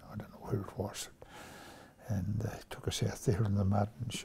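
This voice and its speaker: A man speaks with a New Zealand accent. His pace is fairly slow. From New Zealand, King Country. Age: 80s+. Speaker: retired rugby player. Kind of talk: interview answer.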